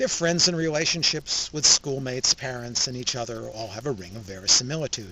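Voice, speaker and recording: At a fairly quick pace, a man talks in a normal speaking voice of medium pitch with lively intonation. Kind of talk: casual talk to camera, film review commentary. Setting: outdoors in a wilderness area.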